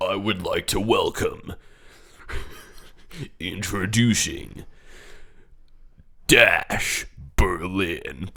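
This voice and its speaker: A man puts on a character voice, pitched fairly low. He speaks very slowly, with long, frequent pauses. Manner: formal, introducing an act.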